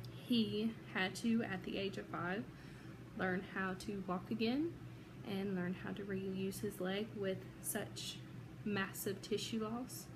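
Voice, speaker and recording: A woman with an American accent speaks at a very slow pace. There is noticeable background noise. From Georgia, USA. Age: 30s. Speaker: psychology student. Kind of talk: self-introduction for class. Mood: earnest, emotional personal story. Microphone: phone near.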